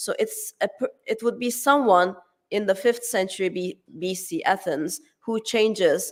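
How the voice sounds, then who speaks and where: Speaking fairly slowly, a woman with a Turkish accent uses lively intonation. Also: fairly high pitch for a woman. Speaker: academic conference speaker. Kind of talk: conference talk. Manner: hesitant, many fillers and restarts.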